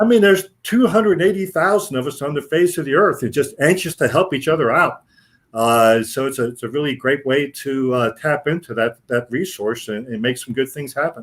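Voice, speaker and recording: A man talks at a fairly quick pace with lively intonation and a fairly high pitch. The recording is very clean, with a silent background. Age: 60s. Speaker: sports official and small business owner. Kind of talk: casual interview. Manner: animated; halting, many fillers.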